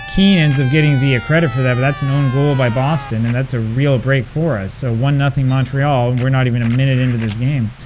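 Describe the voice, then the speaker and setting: A man with an American accent speaks at a very fast pace with hardly any pauses and fairly even intonation. Noticeable background noise is present. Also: medium pitch for a man. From United States. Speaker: retro gaming video creator. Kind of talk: gameplay commentary with casual talk. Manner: hesitant, many fillers.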